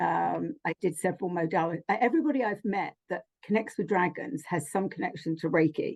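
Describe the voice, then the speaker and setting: A woman talks with vocal fry and lively intonation, recorded with a dry, close sound and no echo. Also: medium pitch for a woman. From London, England. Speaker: spiritual healer and channeler. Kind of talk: casual chat.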